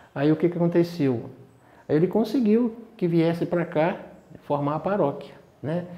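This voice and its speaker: A man's rather slow delivery with normal pitch movement. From Governador Valadares, Minas Gerais, Brazil. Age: 60s. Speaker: parishioner interviewed about parish history. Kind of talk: interview reminiscence. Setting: parish confession room. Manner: hesitant, many fillers.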